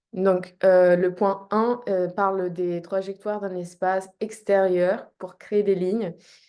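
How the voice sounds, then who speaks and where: The tone is dark and mellow, the delivery very slow and flat with monotone intonation and hardly any pauses. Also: woman, medium pitch for a woman. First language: not French (native language plus English and French) (speaking French). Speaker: movement artist presenting research. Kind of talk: recorded talk. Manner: halting, many fillers.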